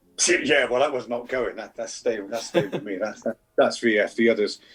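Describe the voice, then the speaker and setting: Over music in the background, a man with an English accent speaks at a medium pitch. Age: 60s. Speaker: coin collector. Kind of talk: interview.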